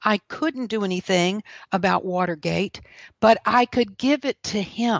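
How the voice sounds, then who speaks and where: A woman with a Southern US accent speaks at a fairly slow pace. Her medium-pitched voice has lively intonation. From South Carolina. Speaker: author and speaker. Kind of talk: testimony.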